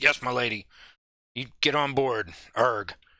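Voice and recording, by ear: A gruff, raspy put-on character voice from a man, on a very clean recording with a silent background. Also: medium pitch for a man, moderate pace.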